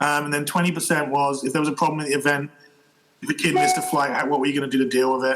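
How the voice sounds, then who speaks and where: At a very fast pace, a man with a British accent talks at fairly high pitch. His intonation is monotone and flat, and his loudness stays very even. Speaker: fencing coach and referee. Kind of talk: podcast interview answer. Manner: casual, conversational.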